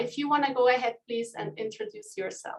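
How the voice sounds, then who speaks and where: A woman with a Swiss accent. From Switzerland. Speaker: community manager. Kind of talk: online group call hosting.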